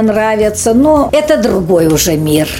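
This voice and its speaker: Very slow, fairly high-pitched speech from a woman, set against clearly audible background noise. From Kazakhstan, Pavlodar region village. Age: 70s. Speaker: music school librarian, former school director. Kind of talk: radio interview. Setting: recorded at the school.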